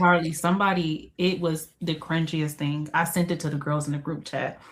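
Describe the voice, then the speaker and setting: Somewhat breathy and in a flat monotone, a woman speaks at a moderate pace with a fairly low pitch. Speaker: book content creator. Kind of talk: casual chat. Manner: soft-spoken.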